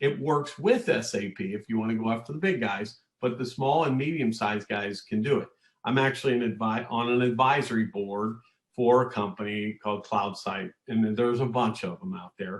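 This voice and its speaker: A man speaks at a medium pitch and a fairly quick pace. He has a plain, everyday voice with ordinary pitch variation. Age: 60s. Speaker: manufacturing consultant and executive. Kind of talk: podcast interview.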